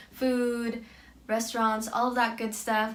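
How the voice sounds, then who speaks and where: Speaking at a moderate pace, a woman with an American accent has a fairly high voice. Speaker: exchange student. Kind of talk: casual talk to camera. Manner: mellow, monotone.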